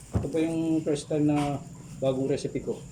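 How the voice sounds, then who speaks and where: A man's somewhat breathy, dark, mellow voice at a fairly high pitch, with fairly even intonation. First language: Kapampangan (speaking Tagalog). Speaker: home baker vlogger. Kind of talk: casual cooking vlog. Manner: halting; polite, humble.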